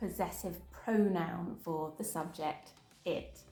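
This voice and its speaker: With music playing in the background, a woman speaks in a southern English accent. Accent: Southern British English. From Southern England. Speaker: English teacher. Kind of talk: English lesson for beginners. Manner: slow, clear.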